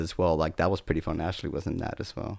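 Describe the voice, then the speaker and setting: The speaker is a man with an American accent and fairly even intonation. His recording is very clean, with a silent background. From California, San Bernardino. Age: young. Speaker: state senate communications staffer. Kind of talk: casual chat.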